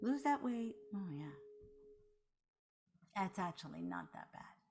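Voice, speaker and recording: A woman with a dark, mellow, somewhat breathy tone talks at a fairly slow pace, with long, frequent pauses and big swings in loudness. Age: 60s. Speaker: meditation teacher. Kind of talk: guided meditation. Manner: soft-spoken.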